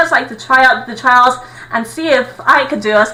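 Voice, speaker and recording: Projecting a raised voice, a woman talks high-pitched at a fairly quick pace over noticeable background noise. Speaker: YouTuber. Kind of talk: monologue. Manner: fast; stutters when overexcited.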